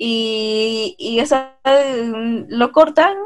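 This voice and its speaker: Her pitch fairly high, a woman talks in a normal speaking voice with ordinary pitch variation. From Peru. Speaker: podcast co-host. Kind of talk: casual chat.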